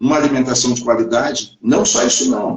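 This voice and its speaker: This man's words come at a fairly quick pace. His voice sits at a medium pitch. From Brazil, Paraná (Foz do Iguaçu, Curitiba). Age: 50s. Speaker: livestream host talking about self-care. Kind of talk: live stream talk to viewers. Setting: online livestream. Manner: halting, repeats words.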